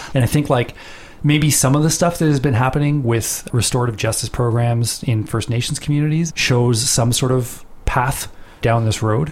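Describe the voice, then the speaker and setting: An ordinary speaking voice moves at a moderate pace, with very even loudness and fairly even intonation. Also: man, medium pitch for a man. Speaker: podcast host interviewer. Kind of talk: interview discussion.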